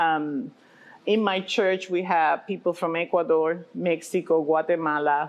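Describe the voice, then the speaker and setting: The speaker has a slight Puerto Rican accent. The pace is fairly slow and the intonation fairly even. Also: woman. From Puerto Rico. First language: Spanish. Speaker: pastor and restaurant owner. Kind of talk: interview.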